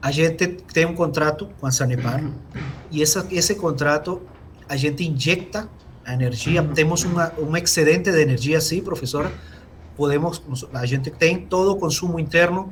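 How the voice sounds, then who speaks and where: The recording has audible room echo and noticeable background noise. A man with a fairly high pitch speaks with long, frequent pauses. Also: ordinary pitch variation, moderate pace. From Venezuela. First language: Spanish (speaking Portuguese). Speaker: engineer, company technical director. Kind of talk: webinar Q&A answer.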